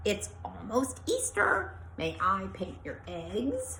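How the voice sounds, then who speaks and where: A female-sounding, put-on character voice speaks at a very slow pace over clear background noise. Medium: read story.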